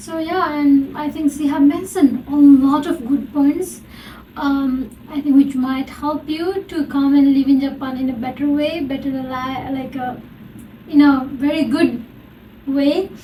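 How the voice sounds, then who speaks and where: A non-native accent at a fairly slow pace, with fairly even intonation and noticeable background noise. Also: woman, high pitch for a woman. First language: not English. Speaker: podcast host. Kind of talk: casual interview chat.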